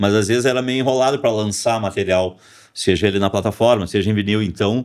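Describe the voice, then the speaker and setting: At a fairly quick pace, a man speaks with ordinary pitch variation in a very clean recording with a silent background. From Porto Alegre, southern Brazil. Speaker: rock musician and songwriter. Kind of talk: podcast interview. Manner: halting, many fillers.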